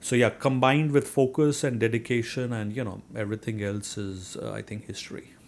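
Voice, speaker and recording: In a very clean recording with a silent background, a man with a strong Indian accent speaks at medium pitch and a fairly quick pace, with ordinary pitch variation and hardly any pauses. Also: big swings in loudness. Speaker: real estate investor. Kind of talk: interview. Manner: hesitant, many fillers.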